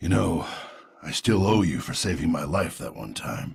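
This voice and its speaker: A man puts on a raspy character voice, very deep and low, with very wide pitch swings. His loudness swings a lot, and his pace is moderate. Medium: video game. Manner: gruff.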